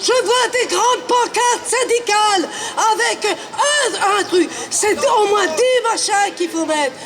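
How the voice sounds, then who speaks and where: A man's extremely high voice with ordinary pitch variation, very even loudness and a very slow pace, over noticeable background noise. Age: 70s. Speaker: protester. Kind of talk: street protest speech.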